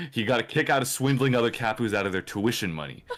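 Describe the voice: The pitch rises and falls in an ordinary way during this plain reading aloud.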